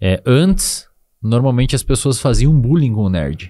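In a very clean recording with a silent background, a man speaks at a medium pitch with a dark, mellow tone and lively intonation. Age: 20s. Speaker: psychologist and neuroscience expert. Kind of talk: casual interview chat.

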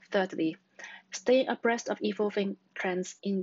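A woman talks with a Cantonese accent. The sound is dry, with no echo. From Hong Kong. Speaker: job applicant, researcher. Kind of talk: scripted self-introduction for job application. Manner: formal, prepared. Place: home room. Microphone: webcam.

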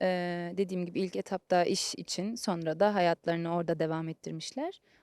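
A woman with a normal speaking voice, a fairly low pitch and ordinary pitch variation, at a fairly quick pace, in a very clean, dry, close recording with no echo and a silent background. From Germany, Turkish family. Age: 20s. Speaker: trainee lawyer. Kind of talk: interview, casual chat.

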